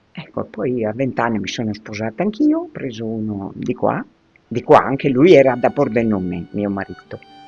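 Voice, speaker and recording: Over music in the background, a woman talks at a moderate pace with a very deep, low pitch and lively intonation. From Lazio, Agro Pontino (Friulian parents). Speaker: elderly local resident interviewed by school pupils. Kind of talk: oral history interview. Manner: halting.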